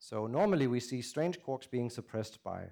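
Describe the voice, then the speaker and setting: With a dark, mellow tone and medium pitch, a man talks at a fairly quick pace in lively intonation. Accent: Danish. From Denmark. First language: Danish. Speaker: theoretical physicist. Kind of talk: public lecture.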